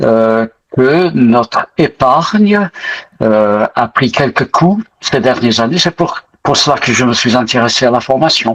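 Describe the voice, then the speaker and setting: With lively intonation and very even loudness, a man speaks at a very slow pace in a dry, close sound with no echo. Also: medium pitch for a man. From Britain. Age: 80s+. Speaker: retired pastor, investing course student. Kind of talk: testimony interview. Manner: hesitant, many fillers.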